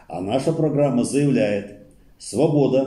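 A man with a dark, mellow tone sounds somewhat breathy, using ordinary pitch variation against a quiet background with audible room echo. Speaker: study circle leader. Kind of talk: reading aloud. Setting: study circle recording. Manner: formal, steady lecturing delivery; slow, measured, declamatory. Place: meeting room.

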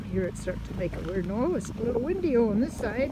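Loud background noise fills this recording, which has a dry sound with no echo. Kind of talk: casual vlog chat. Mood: chatty, amused. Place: open country. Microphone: phone near.

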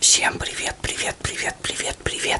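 A man whispers at a fairly slow pace. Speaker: ASMR channel host. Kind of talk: ASMR video intro to viewers. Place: home room.

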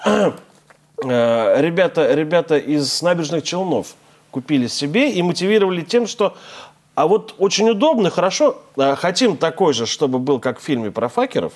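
In a quiet background, a man with a high pitch speaks at a moderate pace, his pitch swinging very widely. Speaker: TV host. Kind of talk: TV talk show with call-ins. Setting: studio. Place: studio. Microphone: lapel.

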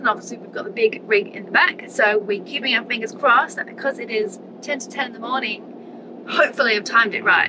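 Speaking very fast, a woman keeps ordinary pitch variation while noticeable background noise runs underneath. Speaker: travel vlogger. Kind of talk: casual vlog chat. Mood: upbeat, hopeful. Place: car. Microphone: phone near.

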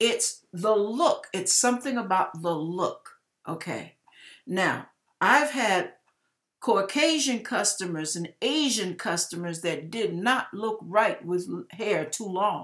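In a quiet background, a woman speaks at a very slow pace with lively intonation. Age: 60s. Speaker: YouTuber giving hair and wig tips; YouTuber giving hair. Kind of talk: casual video tutorial. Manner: animated. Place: kitchen. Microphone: webcam.

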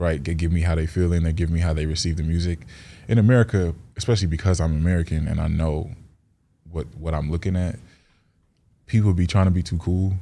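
Speaking at a very fast pace with long, frequent pauses, a man with very deep, low pitch has a dark, mellow tone and fairly even intonation. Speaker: rapper; interview guest. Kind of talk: casual interview. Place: studio. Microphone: studio mic.

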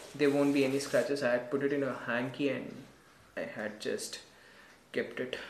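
Noticeable background noise runs behind the speaker. A man talks with fairly even intonation. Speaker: vlogger. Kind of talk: casual unboxing tutorial. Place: home room. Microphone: camera far.

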